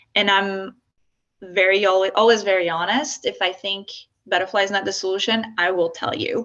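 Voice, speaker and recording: With a French accent and a bright, sharp tone, the speaker keeps a moderate pace and fairly even intonation. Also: woman, medium pitch for a woman. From France. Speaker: software founder. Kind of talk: workshop presentation. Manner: halting.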